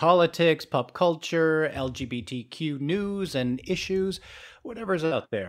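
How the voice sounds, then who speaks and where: A man with an unremarkable speaking voice talks at a fairly slow pace in a fairly high pitch. The recording is very clean, with a silent background. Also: lively intonation. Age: 50s. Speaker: podcast co-host. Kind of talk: casual podcast conversation.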